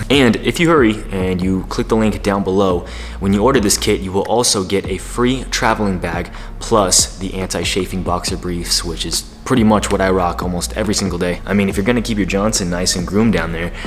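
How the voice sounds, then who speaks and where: Faint music plays in the background as a man speaks in a very deep, low pitch. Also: ordinary pitch variation. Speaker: dating advice youtuber. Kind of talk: casual vlog chat. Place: home room.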